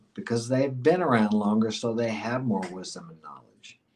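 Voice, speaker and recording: A man with an American accent and a normal speaking voice, medium pitch, moderate pace. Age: 60s. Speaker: dating and life advice guest. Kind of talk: podcast interview.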